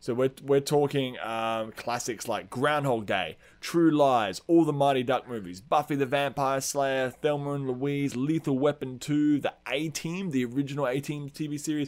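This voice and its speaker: A man with an Australian accent, fairly high pitch, ordinary pitch variation and a moderate pace. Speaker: podcast host. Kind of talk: casual chat.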